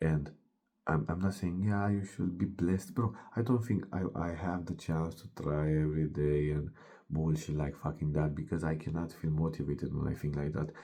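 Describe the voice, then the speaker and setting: A man's very deep, low voice with a Romanian accent, dark and mellow in tone, at a moderate pace with ordinary pitch variation. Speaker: fitness coach. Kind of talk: motivational monologue. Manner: animated.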